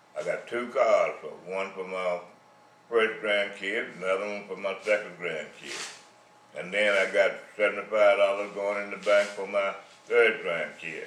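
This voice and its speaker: Fairly slow speech from a man, with noticeable background noise and audible room echo. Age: 80s+. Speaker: retiree sharing life advice. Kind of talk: monologue.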